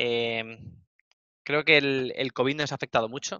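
In a quiet background, a man speaks at a medium pitch with ordinary pitch variation, the sound dry with no echo. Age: 30s. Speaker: esports coach. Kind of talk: interview. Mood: relaxed, content. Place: office. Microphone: headset.

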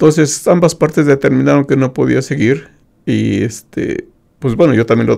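A man speaks fairly quickly with little sound behind him. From Mexico. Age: 50s. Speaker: retired IT professional with visual impairment; interview guest, host's father. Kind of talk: interview testimony. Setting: radio studio. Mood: calm, reflective. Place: studio. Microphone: studio mic.

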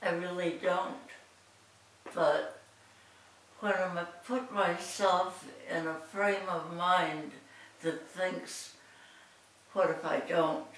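Audible room echo surrounds a woman speaking at medium pitch with ordinary pitch variation. She goes at a very slow pace with long, frequent pauses. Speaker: interviewee. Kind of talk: interview answer. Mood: reflective, calm. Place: home room. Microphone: camera far.

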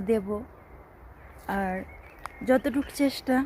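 Here is a woman with a fairly high pitch. Her intonation is fairly even. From Bangladesh. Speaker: migrant domestic worker and vlogger. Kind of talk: personal vlog testimony. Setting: outdoors in a quiet place.

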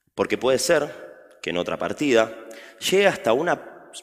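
A man speaks at a fairly slow pace, his pitch swinging very widely against a quiet background. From Argentina. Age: 20s. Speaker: chess teacher; speaker. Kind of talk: public talk. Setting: stage with audience. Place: stage.

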